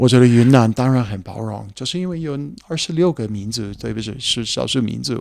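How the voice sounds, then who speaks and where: This man has a medium-pitched voice and talks at a fairly quick pace with ordinary pitch variation. The recording is very clean, with a silent background. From USA. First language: English (speaking Chinese). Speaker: heritage hotel founder. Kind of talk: casual chat. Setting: outdoors by rapeseed fields. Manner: halting.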